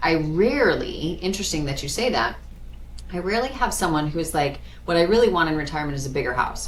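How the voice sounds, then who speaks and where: Speaking in an American accent at a very fast pace, the voice has an animated tone and lively intonation, with audible room echo and noticeable background noise. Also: woman. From US Midwest, South Dakota. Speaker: financial planner. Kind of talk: casual chat.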